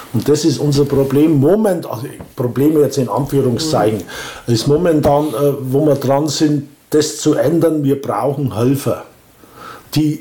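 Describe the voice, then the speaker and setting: A man's fairly high voice at a moderate pace with long, frequent pauses over noticeable background noise. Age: 60s. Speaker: volunteer organizer of a senior-help association. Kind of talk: casual interview. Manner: halting.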